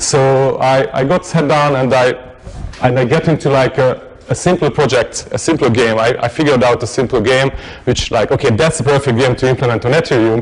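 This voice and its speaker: A man with a non-native accent at a medium pitch, fairly quick pace, fairly even intonation and very even loudness, over noticeable background noise. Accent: noticeable foreign. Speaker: tech meetup speaker. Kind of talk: technical talk. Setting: meetup with live audience. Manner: halting, many fillers and repetitions.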